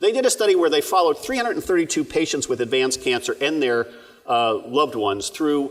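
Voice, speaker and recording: He is a man speaking in a New Jersey accent. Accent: New Jersey, heard in pace of talk. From New Jersey, Asbury Park. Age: 60s. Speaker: palliative care physician. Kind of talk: keynote speech. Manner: fast.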